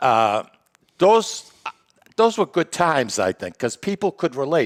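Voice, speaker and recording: A man talks fairly slowly at a fairly high pitch, with vocal fry. His pitch swings very widely. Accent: Boston. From Lawrence, Massachusetts. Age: 70s. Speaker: podcast host. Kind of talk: casual chat. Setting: studio with live audience.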